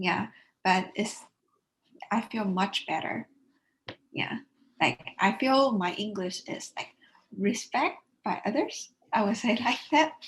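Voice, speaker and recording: Somewhat breathy woman's voice at a very slow pace, with lively intonation and long, frequent pauses. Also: fairly high pitch for a woman. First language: not English. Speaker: university student. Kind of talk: interview testimony.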